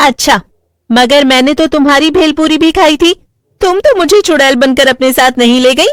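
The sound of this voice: A cartoonish character voice, female-sounding and high-pitched, carries the clip. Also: moderate pace.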